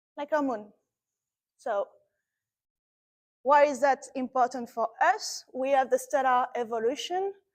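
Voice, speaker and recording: In a French accent, a woman with a high pitch speaks at a fairly slow pace with long, frequent pauses and ordinary pitch variation, recorded dry and close with no echo. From France. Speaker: astrophysicist. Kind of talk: lecture. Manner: animated.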